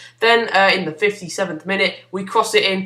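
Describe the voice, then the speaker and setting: A man speaks in a raised, projected voice at a high pitch, talking very fast with fairly even intonation. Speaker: gaming YouTuber. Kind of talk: gameplay commentary. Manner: mumbling; hesitant, many fillers.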